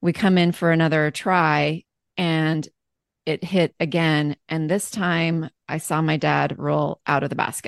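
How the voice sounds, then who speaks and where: Against a quiet background with a dry, close sound and no echo, a woman speaks at a fairly slow pace in a very deep, low pitch with monotone, flat intonation. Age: 40s. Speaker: life balance coach. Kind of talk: interview.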